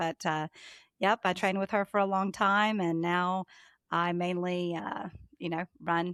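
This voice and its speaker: A woman with a Southern US accent is heard in a dry, close sound with no echo on a very clean recording with a silent background. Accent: Southern US (Georgia). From US South, Georgia. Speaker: trader and market analyst. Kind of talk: podcast interview.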